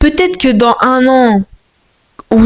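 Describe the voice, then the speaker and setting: A woman talks very slowly, her intonation lively. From France, Moroccan family. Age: 20s. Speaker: vlogger. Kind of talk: casual monologue vlog. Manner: animated, halting with repetitions.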